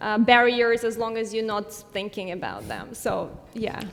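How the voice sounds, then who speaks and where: A woman with a non-native accent speaks at a fairly slow pace over noticeable background noise. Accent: foreign. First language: non-English. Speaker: startup founder. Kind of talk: panel discussion.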